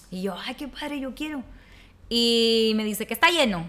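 Here is a woman with a plain, everyday voice, fairly high in pitch. She speaks at a fairly quick pace with ordinary pitch variation. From Nuevo Laredo, northern Mexico border. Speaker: communicator and food content creator. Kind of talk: casual interview.

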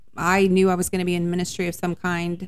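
A woman in a Texan accent speaks at a fairly low pitch. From Dallas-Fort Worth, Texas. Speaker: minister's wife, podcast co-host. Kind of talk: casual chat. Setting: home study.

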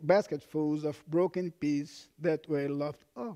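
A man with a Portuguese accent speaks at a very slow pace in a dark, mellow tone, recorded dry and close with no echo. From Brazil. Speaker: pastor. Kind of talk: sermon. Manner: halting, with frequent fillers.

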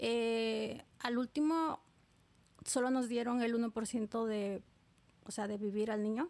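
Very slowly, a woman speaks in a fairly high voice. Long pauses come often. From Oaxaca, Mexico. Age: 30s. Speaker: immigrant. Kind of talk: testimony.

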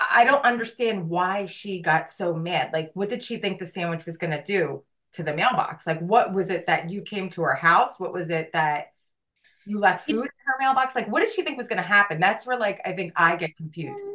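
Loud and at a moderate pace, a woman with a medium pitch and an American accent speaks with lively intonation. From New Jersey. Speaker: podcast co-host. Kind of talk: casual chat.

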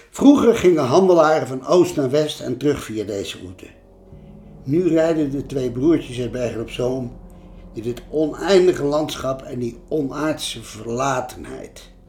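This man has an ordinary speaking voice and ordinary pitch variation. He speaks at a fairly slow pace, with big swings in loudness. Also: fairly high pitch for a man. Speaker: change management consultant and author. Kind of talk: narration of travel stories.

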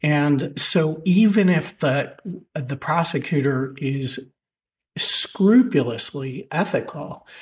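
With ordinary pitch variation, the speaker's voice comes across as somewhat breathy. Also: man. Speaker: supreme court justice. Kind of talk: judicial questioning during oral argument. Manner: thoughtful, hesitant with fillers.

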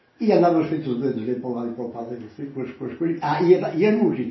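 There is audible echo from the room. The speaker is a man. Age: 70s. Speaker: grandfather interviewed about his life. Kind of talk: oral history interview.

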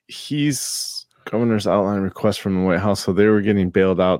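A man's fairly low voice at a moderate pace, an unremarkable speaking voice with ordinary pitch variation. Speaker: podcast co-host. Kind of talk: casual chat. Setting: remote call.

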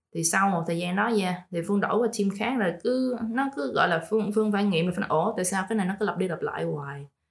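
Very fast, somewhat breathy speech from a woman, with hardly any pauses. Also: medium pitch for a woman, ordinary pitch variation. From Vietnam, Ho Chi Minh City. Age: 20s. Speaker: podcast guest. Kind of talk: casual chat. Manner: code-switching Vietnamese and English.

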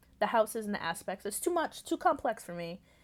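A mumbling woman at a fairly quick pace, her fairly high pitch swinging very widely, on a very clean recording with a silent background. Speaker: podcast host. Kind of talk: casual solo talk. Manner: fast when excited.

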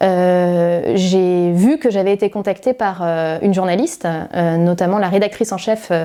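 Her medium-pitched voice has a dark, mellow tone and ordinary pitch variation as this woman speaks. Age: 30s. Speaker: activist. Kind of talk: interview testimony.

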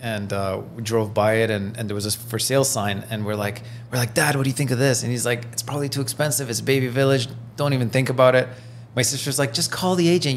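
A man rattles off words very quickly, pitch varying normally, while background noise is clearly audible. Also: medium pitch for a man. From Iran, raised in Belgium and Toronto. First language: French. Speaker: realtor. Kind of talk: casual interview.

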